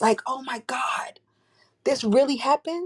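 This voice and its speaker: With a New York accent, the speaker keeps a moderate pace and ordinary pitch variation. The sound is dry and close, with no echo. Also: woman. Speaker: crisis management specialist and entrepreneur. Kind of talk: casual chat. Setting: live audio chat room.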